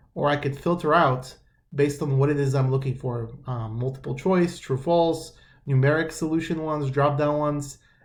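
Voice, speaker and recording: The man's voice is somewhat breathy and fairly high in pitch, with fairly even intonation. Audible room echo surrounds it. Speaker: math instructor. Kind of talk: tutorial. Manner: casual, halting with fillers; fast.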